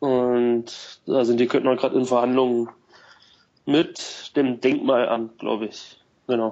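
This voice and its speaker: A voice with flat, monotone intonation moves at a very slow pace, broken by long, frequent pauses. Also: man, medium pitch for a man. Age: 20s. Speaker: cross golf club founder. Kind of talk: casual chat.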